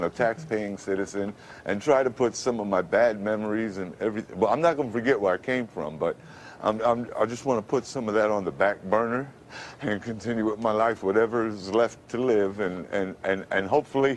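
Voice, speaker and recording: Fairly quick delivery from a man, fairly low in pitch, with ordinary pitch variation. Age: 50s. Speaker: radio announcer. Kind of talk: TV interview answer. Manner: halting, repetitive.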